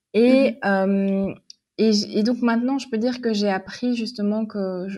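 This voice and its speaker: A woman speaks fairly slowly in a dark, mellow tone. The background is quiet. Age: 30s. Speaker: magazine editor-in-chief. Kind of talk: casual interview.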